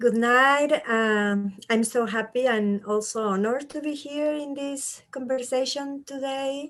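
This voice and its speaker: With a Chilean accent, a woman talks at a fairly slow pace in a high pitch, using ordinary pitch variation and hardly any pauses. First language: Spanish. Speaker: immigrant rights activist. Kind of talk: panel discussion.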